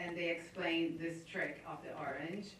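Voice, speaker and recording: Against noticeable background noise and audible room echo, a woman with an American accent speaks at a fairly low pitch. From Brazil, Rio de Janeiro. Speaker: screenwriter. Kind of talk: panel interview.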